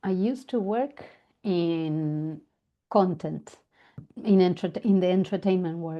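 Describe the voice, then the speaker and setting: A woman in an Argentine accent at a fairly slow pace, with long, frequent pauses, medium pitch and ordinary pitch variation. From Argentina. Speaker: family constellation facilitator. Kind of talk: interview.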